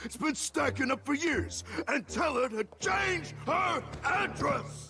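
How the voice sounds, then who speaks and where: A cartoonish character voice, raised and projected, moves along at a fairly slow pace. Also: man, extremely high pitch for a man. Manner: curt, gruff.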